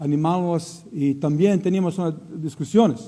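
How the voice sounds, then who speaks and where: A man speaks at a fairly slow pace in a high-pitched voice with a dark, mellow tone and ordinary pitch variation. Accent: Croatian. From Croatia. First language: Croatian (speaking Spanish). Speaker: missionary preacher. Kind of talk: sermon. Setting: church. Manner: halting.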